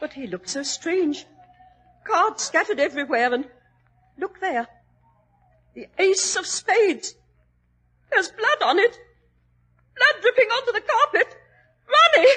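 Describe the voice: A woman puts on a character voice, extremely high in pitch, with a bright, sharp tone and lively intonation. She goes at a slow pace with long, frequent pauses.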